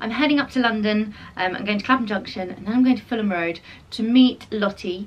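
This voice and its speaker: This voice talks at a fairly quick pace with lively intonation. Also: woman. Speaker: vlogger. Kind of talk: casual vlog chat. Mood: cheerful, upbeat. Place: home room. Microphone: camera far.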